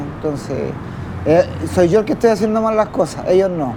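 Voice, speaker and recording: Moderate pace from a man with a high voice, ordinary pitch variation and noticeable background noise. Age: 40s. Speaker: homeless man in drug addiction. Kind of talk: testimony. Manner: halting.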